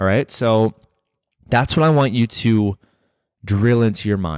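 Speaking at a moderate pace and medium pitch, a man uses an intense tone and lively intonation in a dry, close sound with no echo. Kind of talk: pep talk. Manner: intense, emphatic, urgent, driving the listener to get fired up; direct, earnest, conversational, repeating 'right?' to pull listener along.

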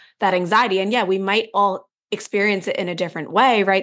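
A woman talks at a very fast pace in an animated tone over a quiet background. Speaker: podcast co-host, entrepreneur. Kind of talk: casual chat.

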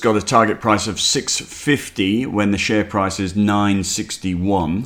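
Over noticeable background noise, a man with an Australian accent and fairly low pitch speaks at a moderate pace. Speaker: investment newsletter host. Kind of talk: market commentary podcast.

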